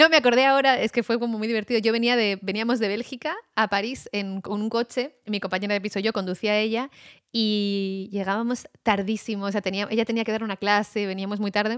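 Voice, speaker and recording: In a very clean recording with a silent background, a woman with a fairly high pitch uses fairly even intonation in a normal speaking voice, the sound dry and close with no echo. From Basque Country, Spain. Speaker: writer and audio documentary producer. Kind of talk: casual chat.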